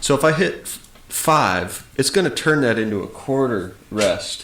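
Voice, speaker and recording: Audible room echo surrounds a man talking at a fairly slow pace with lively intonation. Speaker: music software tutor. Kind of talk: tutorial. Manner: casual with frequent fillers.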